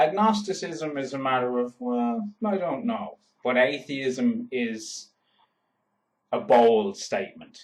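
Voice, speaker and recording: A man with an Irish accent speaks at a very slow pace. His pitch is fairly high and swings very widely. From Ireland. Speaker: YouTuber. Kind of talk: vlog monologue.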